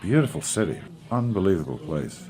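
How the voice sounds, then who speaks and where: A man with a Northern Irish accent at a moderate pace, with very wide pitch swings and music in the background. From Northern Ireland. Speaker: actor. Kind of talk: interview answer. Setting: studio.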